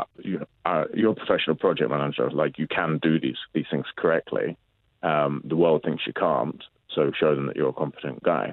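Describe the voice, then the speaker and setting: The speaker has a London accent and fairly even intonation. The pace is moderate. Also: man, very deep, low pitch for a man. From London, England. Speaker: tournament organiser. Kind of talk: interview.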